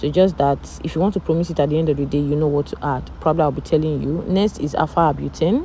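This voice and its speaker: Noticeable background noise accompanies a speaker with a non-native accent. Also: woman. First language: not English. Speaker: cosmetics tutorial creator. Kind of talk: tutorial voiceover. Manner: casual, hesitant.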